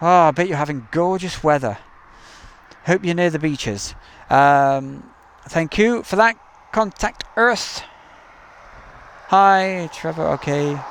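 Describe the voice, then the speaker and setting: With an East Midlands accent, a high-voiced man speaks at a very slow pace, leaving long, frequent pauses while his intonation stays lively. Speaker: live stream host, plane spotter. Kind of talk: live stream commentary with chat. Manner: casual, chatty.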